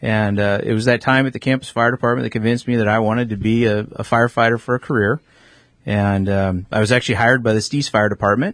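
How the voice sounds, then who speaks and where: A man talks at a very fast pace. His pitch is medium and his intonation fairly even. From Alaska (Juneau). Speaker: fire science professor. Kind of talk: radio interview. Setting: radio studio.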